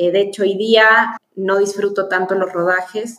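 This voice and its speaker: This woman speaks at a fairly slow pace and a medium pitch. Her intonation is monotone and flat. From Chile. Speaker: film producer. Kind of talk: interview.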